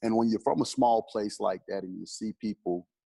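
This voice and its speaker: With a dry, close sound and no echo, a man speaks in a monotone, flat intonation. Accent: Southern US. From US South, South Carolina. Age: 40s. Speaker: football coach. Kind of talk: interview. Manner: conversational.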